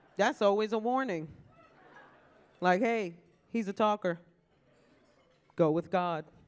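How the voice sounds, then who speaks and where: A woman with a New York accent speaks at a medium pitch with ordinary pitch variation and an animated tone. Her pace is fairly slow, broken by long, frequent pauses. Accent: New York (Bronx). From New York, South Bronx. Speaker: comedian hosting an awards ceremony. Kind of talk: stand-up. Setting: stage with audience at a luncheon.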